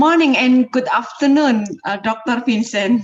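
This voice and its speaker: A woman speaks with an Indonesian accent at a fairly slow pace. Her pitch varies in an ordinary way. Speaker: poultry science association representative. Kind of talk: formal thanks. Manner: halting.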